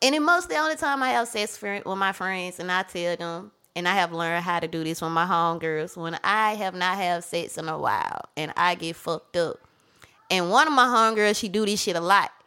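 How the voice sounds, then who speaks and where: A woman's medium-pitched, bright, sharp voice at a fairly quick pace with lively intonation. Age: 30s. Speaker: podcast guest. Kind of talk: casual chat. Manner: laughs often.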